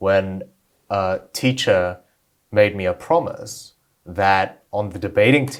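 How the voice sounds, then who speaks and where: At a very slow pace with long, frequent pauses, a man talks in a fairly low pitch with ordinary pitch variation. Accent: Australian. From Australia. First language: Korean. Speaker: debater and author. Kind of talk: interview.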